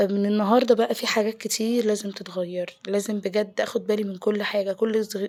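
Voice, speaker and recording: At a moderate pace with hardly any pauses, a woman speaks in a medium pitch with a monotone, flat intonation. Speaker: home lifestyle vlogger. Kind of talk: casual vlog talk.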